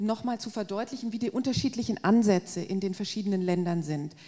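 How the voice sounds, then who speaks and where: A woman with a fairly high pitch speaks in a dark, mellow tone that is somewhat breathy. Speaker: agricultural policy expert; guest. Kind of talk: panel discussion. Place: hall. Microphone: handheld.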